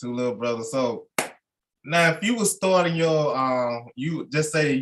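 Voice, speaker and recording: At a moderate pace, a man talks with a Mississippi accent. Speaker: podcast host. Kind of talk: casual interview.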